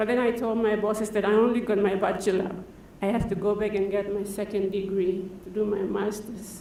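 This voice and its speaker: The voice is monotone and flat, with very even loudness and a fairly quick pace. Noticeable background noise and audible room echo accompany it. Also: woman, medium pitch for a woman. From Papua New Guinea. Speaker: farm manager. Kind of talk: conference talk.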